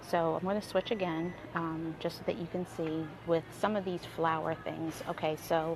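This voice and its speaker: With fairly even intonation, a woman speaks at a moderate pace and a fairly low pitch. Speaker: wedding planner. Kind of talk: live stream tutorial. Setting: in a craft store. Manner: hesitant, many fillers.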